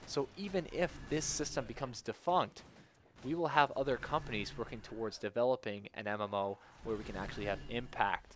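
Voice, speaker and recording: With an ordinary speaking voice, a man talks at a moderate pace in a medium pitch with ordinary pitch variation. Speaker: gaming video host. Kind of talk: solo commentary monologue. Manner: casual.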